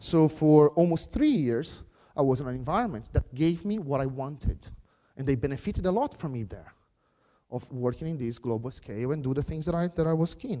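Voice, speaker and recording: Fairly high in pitch, a man talks at a fairly quick pace with lively intonation. His tone is dark and mellow. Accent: Brazilian Portuguese. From Brazil. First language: Portuguese. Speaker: software craftsmanship speaker. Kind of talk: conference keynote.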